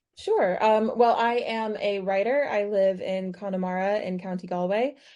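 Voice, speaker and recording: A woman with an American accent, a dark, mellow tone and medium pitch, speaking at a moderate pace with fairly even intonation. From United States. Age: 30s. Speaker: author and writing teacher. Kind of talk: interview. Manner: hesitant fillers (um, uh).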